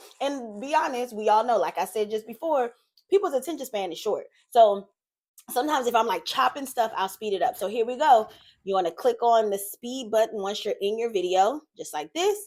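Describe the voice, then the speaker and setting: A woman's delivery is fairly brisk and her intonation lively, in a normal speaking voice. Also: fairly high pitch for a woman. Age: 30s. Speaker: YouTuber. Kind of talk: tutorial. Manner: casual, chatty.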